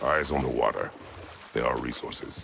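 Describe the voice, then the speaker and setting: Over clear background noise, a man performs a put-on character voice at a moderate pace. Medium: short film. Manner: terse, curt.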